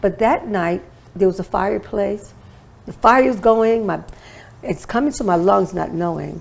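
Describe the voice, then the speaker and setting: Her vocal fry showing, a woman speaks at medium pitch and a moderate pace with ordinary pitch variation and long, frequent pauses. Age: 60s. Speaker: holistic wellness expert and author. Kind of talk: interview testimony.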